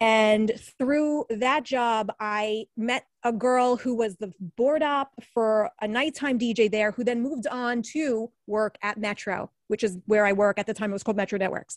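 An unremarkable speaking voice belongs to a woman with a fairly high pitch, an American accent and ordinary pitch variation. She speaks at a fairly slow pace, in a dry, close sound with no echo. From Brooklyn, New York. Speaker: TV and radio newscaster. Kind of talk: casual interview conversation. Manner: chatty, casual.

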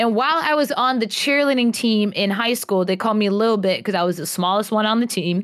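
Speaking fairly quickly with hardly any pauses, a woman with an American accent uses a fairly high pitch, ordinary pitch variation and an animated tone. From New York and North Carolina. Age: 20s. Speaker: content creator and cosplayer. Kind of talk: podcast interview.

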